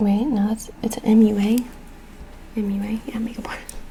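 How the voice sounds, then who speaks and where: A soft-spoken woman talks at a fairly high pitch over noticeable background noise. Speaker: mother, ASMR creator. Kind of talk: ASMR soft-spoken makeup video, casual talk to camera. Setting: quiet home with rain and sound machine background. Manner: soft-spoken, casual, chatty.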